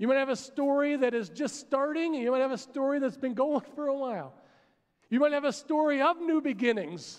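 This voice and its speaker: A man talks at a fairly quick pace in an American accent. His pitch is extremely high, with a quiet background. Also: ordinary pitch variation. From Pennsylvania, US. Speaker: pastor. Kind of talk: sermon. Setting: church with congregation. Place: stage. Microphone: headset.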